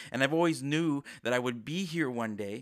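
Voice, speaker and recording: An unremarkable speaking voice, a man at fairly high pitch and a fairly quick pace, with ordinary pitch variation on a very clean, silent recording. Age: 20s. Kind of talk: devotional podcast talk. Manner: casual, filler-heavy.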